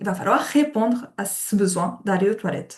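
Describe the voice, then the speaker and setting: Speech comes at a moderate pace. There is a somewhat breathy quality to the voice. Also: woman. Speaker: occupational therapist. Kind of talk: webinar lecture.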